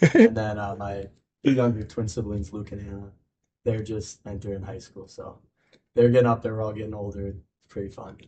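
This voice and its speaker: In a relaxed, somewhat breathy tone with an American accent, the speaker moves at a fairly quick pace with long, frequent pauses, monotone, flat intonation and big swings in loudness. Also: man, fairly low pitch for a man. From Minnesota, US. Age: 20s. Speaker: junior hockey player. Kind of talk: interview. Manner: casual, relaxed.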